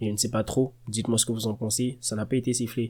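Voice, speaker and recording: The voice is soft-spoken, with a dark, mellow tone. It moves along at a fairly quick pace. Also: man. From Côte d'Ivoire. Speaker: football fan youtuber. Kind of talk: match reaction monologue. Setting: at home at night. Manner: animated.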